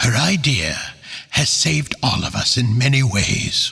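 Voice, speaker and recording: A man talks at a fairly slow pace in a put-on character voice, with lively intonation and a medium pitch. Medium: read story.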